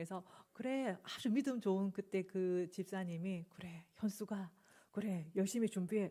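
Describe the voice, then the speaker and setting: Speaking at a fairly slow pace with a Busan accent, a woman has a medium pitch, ordinary pitch variation and a dark, mellow tone. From South Korea, Busan. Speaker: pastor. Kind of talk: sermon. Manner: hesitant, filler-laden.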